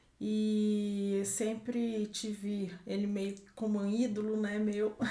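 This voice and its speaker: A woman's fairly high-pitched voice proceeds at a very slow pace. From Brazil, southern Minas Gerais. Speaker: organic farm owner, agronomist. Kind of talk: podcast interview.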